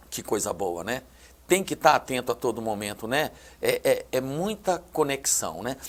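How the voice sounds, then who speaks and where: A man's voice with vocal fry, very wide pitch swings and a fairly slow pace. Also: medium pitch for a man. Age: 60s. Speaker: TV show host. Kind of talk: TV interview.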